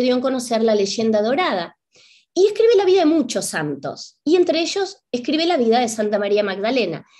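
A woman speaks with a high pitch and very wide pitch swings. The background is quiet. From Argentina, Buenos Aires. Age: 50s. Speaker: spiritual teacher and author; spiritual teacher. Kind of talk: lecture. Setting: video call. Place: home room. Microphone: webcam.

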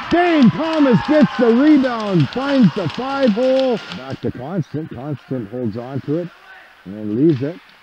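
Over noticeable background noise, the fairly slow voice swings very widely in pitch, with a dry sound and no echo. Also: man, high pitch for a man. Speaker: hockey play-by-play commentator. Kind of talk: live ice hockey play-by-play commentary. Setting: arena, calling game from the rink.

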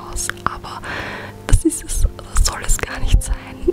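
Whispering at a very slow pace, a woman speaks. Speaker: beauty YouTuber. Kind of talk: ASMR makeup tutorial. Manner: whispered. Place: home room.

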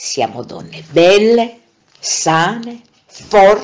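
The pace is very slow. The intonation is lively. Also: woman. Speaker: narrator. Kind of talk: motivational monologue.

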